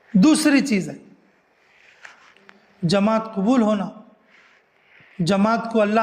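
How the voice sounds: A man speaks slowly at a high pitch with lively intonation. Long, frequent pauses break up his speech, and room echo is audible.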